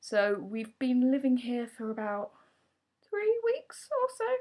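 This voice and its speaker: A woman talks with a southern English accent on a very clean recording with a silent background. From southern England, Surrey. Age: 20s. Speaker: vlogger. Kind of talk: casual vlog. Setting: at home.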